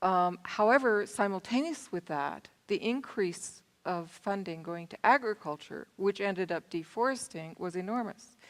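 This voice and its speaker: A woman with an American accent and an ordinary speaking voice talks at a medium pitch and a moderate pace with lively intonation and hardly any pauses, in a very clean recording with a silent background. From US Southern California. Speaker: panel moderator. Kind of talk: panel moderation.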